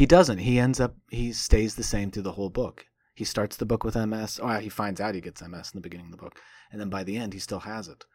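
A man with an American accent speaks at a very fast pace in a fairly low voice with ordinary pitch variation. His loudness swings widely on a very clean recording with a silent background. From US Midwest (Indiana). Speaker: novelist and academic. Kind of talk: casual interview about his book.

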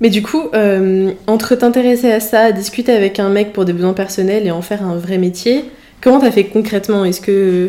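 Spoken at a moderate pace with fairly even intonation, the voice comes through over noticeable background noise. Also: woman, medium pitch for a woman. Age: 20s. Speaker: podcast host, engineering student. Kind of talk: casual interview. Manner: hesitant, many fillers.

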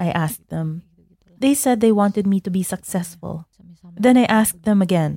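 Medium in pitch, this woman's dark, mellow, somewhat breathy voice has lively intonation at a moderate pace. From Central Java, Indonesia. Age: 20s. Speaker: NGO program assistant. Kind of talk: interview narrative.

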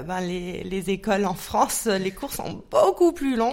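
Her pace very slow, a woman talks at a medium pitch. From Munich, Germany. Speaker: psychologist and coach. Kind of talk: interview. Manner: hesitant.

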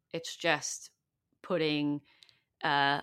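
On a very clean recording with a silent background, a woman with a very deep, low pitch speaks at a fairly slow pace with fairly even intonation. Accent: Californian. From US, Silicon Valley. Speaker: community-building consultant and author. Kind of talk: podcast interview.

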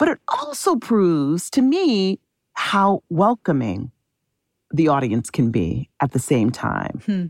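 Recorded with a dry, close sound, no echo and a quiet background, a woman with an American accent talks fairly slowly, her pitch swinging very widely. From Chicago, Illinois. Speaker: theater executive producer. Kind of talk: interview.

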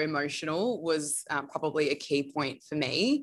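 An Australian accent colors this woman's speech. Her pitch is very deep and low, and she speaks fairly slowly. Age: 20s. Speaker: bridal gown designer. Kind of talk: interview. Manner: casual.

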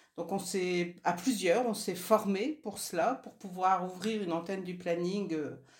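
Her fairly low voice shows ordinary pitch variation as the woman speaks. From northern France (Nord, Lille). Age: 60s. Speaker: feminist activist, former family planning association co-president. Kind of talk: interview.

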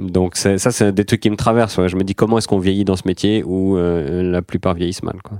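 A man with a very deep, low pitch and a dark, mellow tone speaks at a moderate pace with hardly any pauses and fairly even intonation. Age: 30s. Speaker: comedian. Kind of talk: casual chat.

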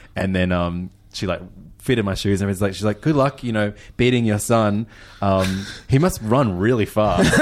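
With an Australian accent, a man speaks at a moderate pace and fairly low pitch, his pitch varying in an ordinary way. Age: 30s. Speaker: food podcast host and DJ. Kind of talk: casual chat.

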